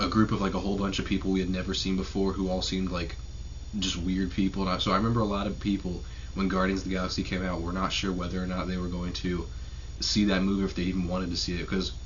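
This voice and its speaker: A man speaks quietly at a very fast pace, his very deep, low voice fairly even in intonation. Audible room echo surrounds him. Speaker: YouTube movie reviewer. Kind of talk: casual video review. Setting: home at night, family sleeping.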